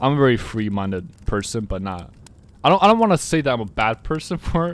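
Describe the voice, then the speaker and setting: A man's pitch swings very widely as he talks. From Finland. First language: Russian and Finnish. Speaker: podcast host. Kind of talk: casual chat. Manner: halting.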